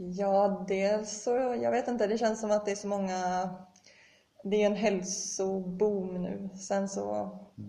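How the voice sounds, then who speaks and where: A woman speaks at a very slow pace with fairly even intonation. Audible room echo is present. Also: medium pitch for a woman. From Sweden, Gothenburg. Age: 20s. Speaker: elite orienteer. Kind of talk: interview.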